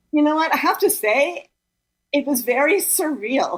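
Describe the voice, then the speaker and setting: This woman talks at a fairly slow pace. Her pitch swings very widely. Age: 60s. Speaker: author of a graphic novel. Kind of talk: interview.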